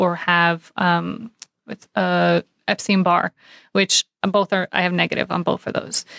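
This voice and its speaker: Woman with an American accent at medium pitch and moderate pace, dry, close sound with no echo, very clean recording, silent background. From New York City. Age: 30s. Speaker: paramedic and cancer patient. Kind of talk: interview conversation.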